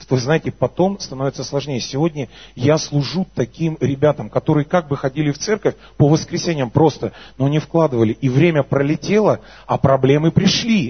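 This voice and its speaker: At a moderate pace, a man speaks at a fairly high pitch with ordinary pitch variation and a somewhat breathy quality. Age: 30s. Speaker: worship leader and preacher. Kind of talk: sermon with personal testimony. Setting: church service with congregation. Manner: animated.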